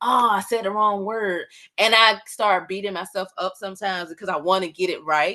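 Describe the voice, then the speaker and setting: A woman's medium-pitched voice with a bright, sharp tone, ordinary pitch variation and a moderate pace. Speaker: community talk host. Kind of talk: group discussion closing remarks. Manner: animated.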